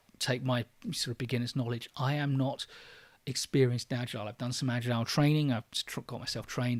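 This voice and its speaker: With a London accent, the speaker talks at a very fast pace and fairly even intonation in a very clean recording with a silent background and a dry, close sound with no echo. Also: man. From London, England. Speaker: online course creator, trainer. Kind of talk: livestream Q&A. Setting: livestream. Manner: natural pace, faster than his videos; hesitant, many fillers.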